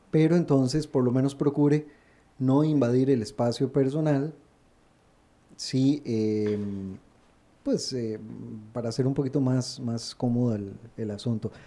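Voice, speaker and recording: Speaking at a fairly slow pace with long, frequent pauses, a man uses a medium pitch, a dark, mellow tone and fairly even intonation. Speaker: radio co-host. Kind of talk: casual chat. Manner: stammers when nervous.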